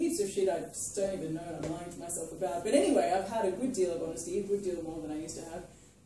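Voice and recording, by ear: A woman talks at a fast pace with a fairly low pitch and a dark, mellow tone. Her pitch moves in an ordinary way, and strong room echo surrounds her voice.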